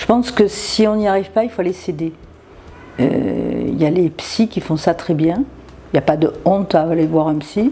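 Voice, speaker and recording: A woman's fairly low voice at a moderate pace, with lively intonation and noticeable background noise. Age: 60s. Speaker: interviewee sharing her love story. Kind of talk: interview conversation. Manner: halting, many repetitions and hesitations.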